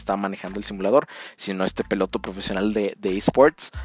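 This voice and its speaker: An unremarkable speaking voice from a man, fairly low in pitch, at a fairly quick pace. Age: 30s. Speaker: sports podcast host. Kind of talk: solo podcast commentary.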